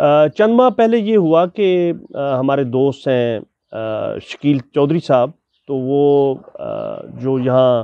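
The man's pitch is fairly high and his intonation lively. He speaks very slowly, and the sound is dry, with no echo. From Pakistan. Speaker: interviewer, teacher. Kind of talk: interview. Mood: warm, respectful. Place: garden. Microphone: lapel.

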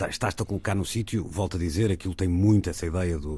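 The man's dark, mellow tone is somewhat breathy and shows ordinary pitch variation, captured in a very clean recording with a silent background. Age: 40s. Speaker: radio host. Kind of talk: casual chat.

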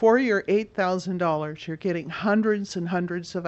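Keeping her intonation fairly even, a woman talks at a moderate pace in a fairly low pitch.

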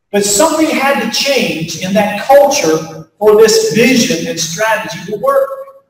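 A man with an American accent speaks at an extremely high pitch. Room echo is audible around him. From US Appalachia (West Virginia). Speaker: pastor and leadership speaker. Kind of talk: keynote talk to faculty, closing with prayer. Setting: stage with audience at faculty retreat. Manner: folksy, conversational with frequent fillers.

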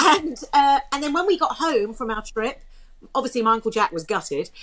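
In a high voice, a woman talks fairly quickly with very wide pitch swings. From England, London. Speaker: voice actor. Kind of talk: podcast interview answer, anecdote telling. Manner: chatty, lively. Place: home room. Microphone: webcam.

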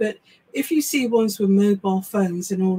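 In an English accent, a woman talks at a moderate pace. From England. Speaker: psychic medium and live show co-host; live show co-host. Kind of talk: casual live chat. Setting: live stream from small home office. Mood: warm, sympathetic. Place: home room.

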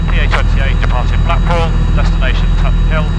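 Loud background noise fills the clip as a man talks. There is no echo, and the sound is dry. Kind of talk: radio communication. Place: plane. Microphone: headset.

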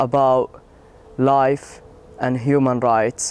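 A man's medium-pitched voice in an Arabic accent, dry with no echo, over light background noise. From Palestine, West Bank. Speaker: volunteer coordinator. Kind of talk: testimony. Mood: earnest, encouraging. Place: street. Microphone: lapel.

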